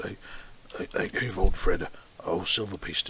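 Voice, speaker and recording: A man puts on a raspy character voice at a fairly quick pace. His loudness swings widely. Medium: actual play. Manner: hesitant, stammering.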